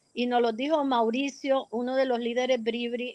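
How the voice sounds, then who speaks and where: Recorded with dry, close sound and no echo, a woman speaks at a moderate pace with a high pitch. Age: 70s. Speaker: community activist and researcher. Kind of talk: radio interview.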